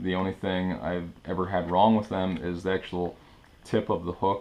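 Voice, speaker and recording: A man with a very deep, low voice talks at a moderate tempo, his intonation monotone and flat. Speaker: fishing tutorial presenter. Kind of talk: tutorial.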